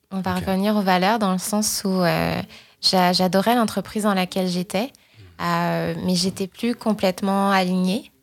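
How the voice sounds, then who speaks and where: The delivery is monotone, with flat intonation. The recording is very clean, with a silent background. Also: woman, medium pitch for a woman, fairly slow pace. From France, Paris region. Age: 30s. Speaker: digital marketing strategist, entrepreneur. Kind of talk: interview. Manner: hesitant, many fillers and repetitions.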